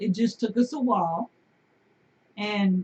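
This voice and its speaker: Somewhat breathy, a woman with an American accent talks at a fairly high pitch. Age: 50s. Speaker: homesteader and video host. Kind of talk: casual live-stream chat. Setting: live stream on camera at home.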